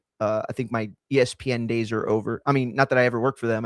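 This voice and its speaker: In a very clean recording with a silent background, a man speaks at medium pitch with fairly even intonation and a dry, close sound with no echo. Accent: American. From Texas. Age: 30s. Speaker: combat sports commentator. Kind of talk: casual live-stream talk. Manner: halting, many fillers.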